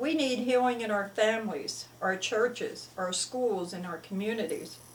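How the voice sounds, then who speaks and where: A woman with an American accent speaks at a fairly high pitch, with noticeable background noise. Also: ordinary pitch variation, moderate pace. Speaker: children's story writer. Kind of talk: religious talk to camera.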